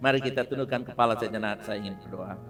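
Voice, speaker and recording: The man speaks in a bright, sharp tone. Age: 60s. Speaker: pastor. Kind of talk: sermon. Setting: church service for a graduation.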